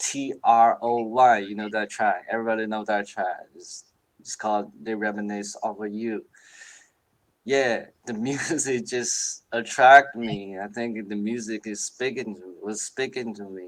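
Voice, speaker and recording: A man with a Chinese accent speaks at a fairly slow pace and a medium pitch, his intonation fairly even but his loudness swinging widely. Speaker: hip hop producer. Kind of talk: casual interview chat. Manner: halting.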